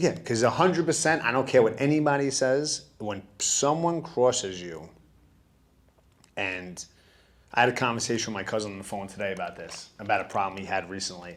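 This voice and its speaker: A man with a New York accent talks at a fairly quick pace, his medium pitch making very wide swings. His tone is animated, with big swings in loudness. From Bronx, New York. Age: 30s. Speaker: studio founder. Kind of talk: interview.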